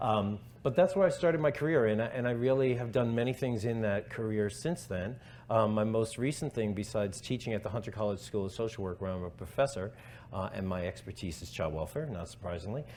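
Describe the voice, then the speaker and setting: Talking at a very fast pace in a New York accent, a man with a fairly low pitch uses lively intonation. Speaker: professor. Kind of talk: conference talk. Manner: hesitant fillers.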